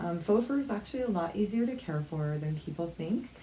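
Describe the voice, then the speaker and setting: Soft-spoken and lively in intonation, a woman talks at a medium pitch against noticeable background noise. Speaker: craft vlogger. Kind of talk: tutorial. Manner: casual, filler-heavy.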